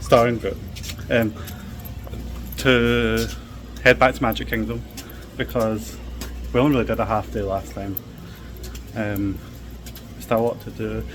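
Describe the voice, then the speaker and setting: Speaking with a Scottish accent, a man with a fairly low pitch talks at a moderate pace, his pitch swinging very widely and his speech broken by long, frequent pauses. Music plays behind him, and the room has an audible echo. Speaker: travel vlogger. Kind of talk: casual vlog chat. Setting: outdoors at theme park resort.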